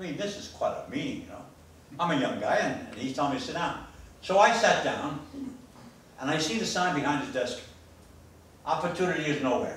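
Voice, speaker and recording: With a New York accent, a man talks at a fairly quick pace in a high pitch with very wide pitch swings, big swings in loudness and long, frequent pauses, amid noticeable background noise and audible room echo. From New York, Queens. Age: old. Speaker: motivational speaker. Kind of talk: motivational speech. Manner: animated.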